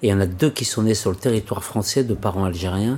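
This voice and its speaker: A man at a fairly quick pace, fairly low in pitch, with ordinary pitch variation. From Paris suburbs, France. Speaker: interviewee. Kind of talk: personal testimony.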